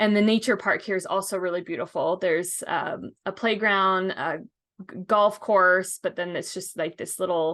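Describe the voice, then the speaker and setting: Here is a plain, everyday voice with ordinary pitch variation at a moderate pace. The background is quiet. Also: woman. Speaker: local real estate guide. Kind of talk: screen-share tour narration. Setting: screen share over map. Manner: casual with fillers.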